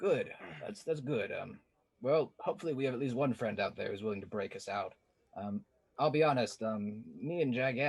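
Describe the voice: The speaker is doing plain reading aloud with lively intonation.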